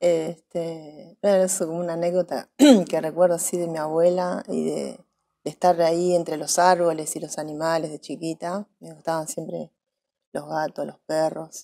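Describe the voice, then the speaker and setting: A woman with a fairly low pitch and a dark, mellow tone speaks at a moderate pace, her loudness swinging widely over a quiet background. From Saladillo, Buenos Aires province, Argentina; Buenos Aires province, Argentina. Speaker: actress; interviewee. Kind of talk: interview; interview answer. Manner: hesitant, many fillers. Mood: relaxed, reflective.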